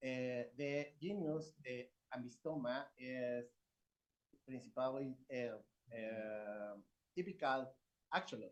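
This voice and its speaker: A man with a Spanish accent talks at a very slow pace with long, frequent pauses. His pitch is medium, with ordinary variation. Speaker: research professor. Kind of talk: conference presentation. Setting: conference. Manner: halting.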